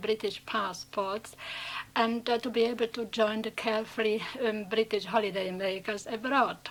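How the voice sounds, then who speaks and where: Speaking with a Czech accent, a woman uses a fairly high pitch and fairly even intonation. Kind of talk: unscripted personal anecdote.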